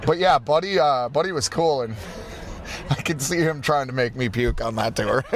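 The speech moves at a moderate pace with ordinary pitch variation while music plays in the background. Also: man, fairly high pitch for a man. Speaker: punk musician. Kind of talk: interview. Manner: direct.

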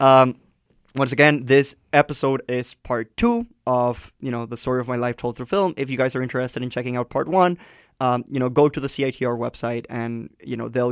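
A man with a Spanish accent at a fairly quick pace, fairly even in intonation, on a very clean recording with a silent background. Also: dry, close sound with no echo. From Colombia. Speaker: campus radio host. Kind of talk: casual chat. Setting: radio studio.

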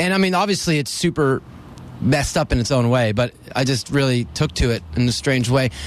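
A man with a normal speaking voice and an American accent talks at a medium pitch and a fairly quick pace, with lively intonation and very even loudness. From US Northeast, Dover. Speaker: rock musician. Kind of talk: casual interview.

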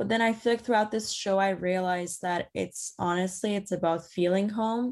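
A woman's medium-pitched voice with a slight Persian accent, moderate pace, and fairly even intonation. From Iran. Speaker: theatre director. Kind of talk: interview.

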